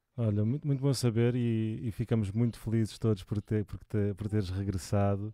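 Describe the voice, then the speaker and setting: A man with a European Portuguese accent, fairly low in pitch with a dark, mellow tone, at a moderate pace with hardly any pauses and fairly even intonation. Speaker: music channel host. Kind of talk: casual interview. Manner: halting.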